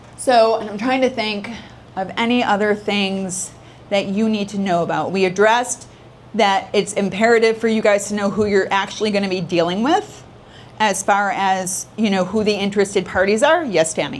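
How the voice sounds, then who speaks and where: A woman talks with fairly even intonation. Her voice carries audible room echo. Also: medium pitch for a woman. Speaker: probate attorney. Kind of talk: lecture. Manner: fast.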